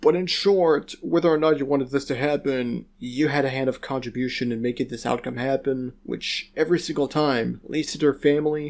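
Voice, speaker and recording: With hardly any pauses, a man talks at a fairly quick pace in a fairly high pitch and fairly even intonation. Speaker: YouTube commentator. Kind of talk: rant commentary. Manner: monotone.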